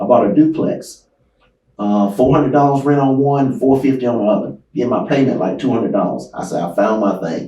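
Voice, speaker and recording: A man with an American accent speaks at a fairly quick pace in a plain, everyday voice, his pitch medium. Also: ordinary pitch variation. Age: 60s. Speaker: real estate investor and martial arts instructor. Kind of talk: interview. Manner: conversational.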